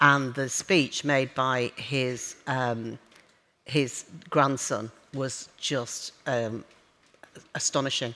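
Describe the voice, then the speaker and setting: With a very deep, low pitch and a bright, sharp tone, a woman speaks at a very slow pace with fairly even intonation and long, frequent pauses. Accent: slight northern English. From northern England. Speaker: business executive. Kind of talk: onstage interview. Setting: conference stage with audience. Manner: hesitant, many fillers.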